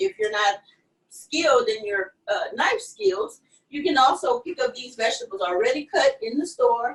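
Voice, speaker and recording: A woman with a Louisiana accent and lively intonation. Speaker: chef and restaurant owner. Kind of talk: live cooking demo interview.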